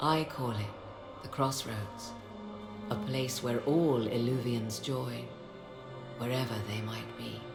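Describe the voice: Over clear music in the background, a put-on character voice with vocal fry moves at a slow pace, with long, frequent pauses and fairly even intonation. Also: woman, extremely low pitch for a woman.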